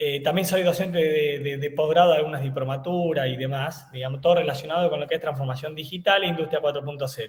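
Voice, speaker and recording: With audible room echo, a man speaks at a fairly quick pace, his fairly high pitch showing ordinary variation. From Argentina, eastern Córdoba province. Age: 30s. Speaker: engineer and university lecturer. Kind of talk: webinar lecture. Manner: hesitant, many fillers.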